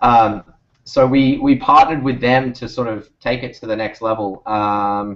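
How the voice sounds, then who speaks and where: A man with a medium pitch, in an Australian accent. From Australia, Sydney. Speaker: startup founder. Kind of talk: interview on video call. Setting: video call. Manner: rambling, hesitant with fillers.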